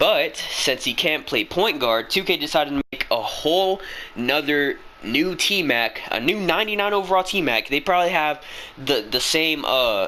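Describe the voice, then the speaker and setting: Noticeable background noise runs under the voice. The pace is moderate, the loudness very even and the intonation lively. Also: man. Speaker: gaming youtuber. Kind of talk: rant. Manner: stuttering; animated.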